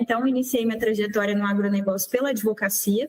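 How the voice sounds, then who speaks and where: The voice carries a Goiás accent with ordinary pitch variation. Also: woman. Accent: Goiás accent, noticeable. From Brazil, Goiânia, Goiás (Center-West). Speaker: lawyer, agribusiness association executive. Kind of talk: radio interview.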